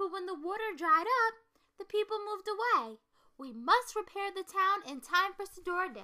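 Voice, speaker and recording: A woman's put-on character voice at an extremely high pitch, moving at a moderate pace. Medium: read story. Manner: formal, authoritative.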